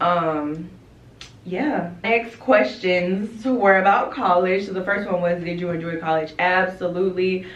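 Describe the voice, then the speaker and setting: A woman's animated, medium-pitched voice at a fairly slow pace, with ordinary pitch variation, audible room echo and noticeable background noise. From North Carolina, Rocky Mount. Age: 20s. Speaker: lash business owner and vlogger. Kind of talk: casual Q&A vlog chat.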